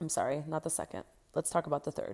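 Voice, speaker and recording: A woman speaks with an American accent in a very clean recording with a silent background. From US West Coast, Los Angeles (San Fernando Valley). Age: 30s. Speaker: sex educator and coach, podcast host. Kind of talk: personal storytelling monologue.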